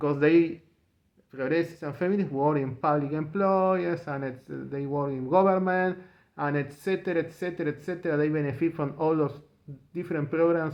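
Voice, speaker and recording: Here a man with a Spanish accent speaks at a fairly high pitch. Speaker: political commentator vlogger. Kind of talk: opinion monologue. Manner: halting; repetitive, emphatic.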